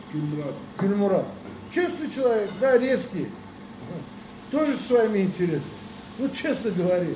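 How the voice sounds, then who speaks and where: Amid noticeable background noise, a man with a high voice talks at a moderate pace, swinging very widely in pitch and leaving long, frequent pauses. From Azerbaijan. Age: 60s. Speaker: pigeon breeder. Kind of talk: casual chat. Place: garden. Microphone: camera far.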